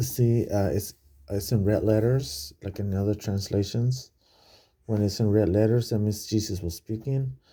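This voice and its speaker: A quiet, somewhat breathy man's voice with a dark, mellow tone, a moderate pace and ordinary pitch variation, on a very clean recording with a silent background. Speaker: bible study vlogger. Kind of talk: casual bible study talk. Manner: speaking quietly; halting, many fillers.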